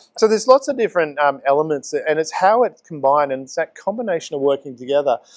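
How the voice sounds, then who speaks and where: A man with an Australian accent talks at a very fast pace with hardly any pauses, his fairly high voice swinging very widely in pitch and greatly in loudness. The sound is dry and close with no echo, over a quiet background. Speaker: community talk show host. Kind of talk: casual chat. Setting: pizza cafe, on location.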